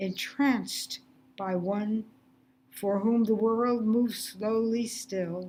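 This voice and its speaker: A woman with a dark, mellow tone and fairly high pitch speaks at a very slow pace, with ordinary pitch variation. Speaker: poet. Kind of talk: poetry reading.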